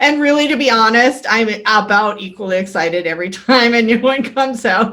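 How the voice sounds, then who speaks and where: At a fairly quick pace, a woman speaks in a fairly high pitch with ordinary pitch variation. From western Canada, near Vancouver. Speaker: podcast host and author. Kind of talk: interview.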